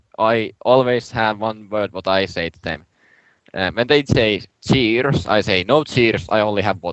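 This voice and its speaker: In a Finnish accent, the speaker goes at a fairly slow pace with ordinary pitch variation and big swings in loudness. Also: man, fairly low pitch for a man. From Finland, Turku. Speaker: podcast co-host, gamer. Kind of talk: casual chat.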